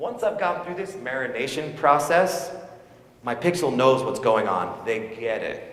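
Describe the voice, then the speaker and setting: Through audible room echo and clearly noticeable background noise, a man's voice comes across. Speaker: conference speaker on online advertising. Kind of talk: live talk to audience. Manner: fast; loud.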